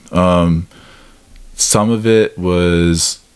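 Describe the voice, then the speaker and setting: A man's very deep, low voice with an American accent. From US Midwest. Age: 30s. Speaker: podcast host. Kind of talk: casual interview chat. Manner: hesitant, many filler words.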